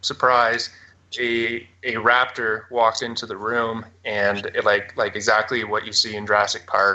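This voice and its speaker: The speaker has a Canadian accent. The intonation is monotone and flat. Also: man. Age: 20s. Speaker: abduction experiencer. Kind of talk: interview testimony. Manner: halting, many fillers.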